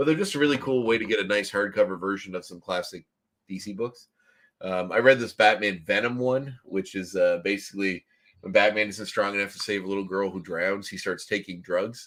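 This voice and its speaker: With a Canadian East Coast accent, a man speaks at a fairly quick pace in a fairly low voice, showing ordinary pitch variation and big swings in loudness. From Nova Scotia, Canada. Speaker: podcast co-host. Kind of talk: casual chat.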